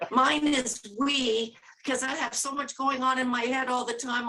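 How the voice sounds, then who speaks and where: Raised and projected, a woman's high-pitched voice carries a fairly even intonation. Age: 70s. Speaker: author. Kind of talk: interview.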